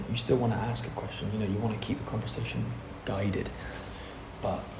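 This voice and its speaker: Over noticeable background noise, a soft-spoken voice delivers its words in a monotone, flat intonation. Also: man. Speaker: DM setter for a fitness coaching offer. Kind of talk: tutorial talk to camera. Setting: co-working space. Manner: quiet, soft-spoken.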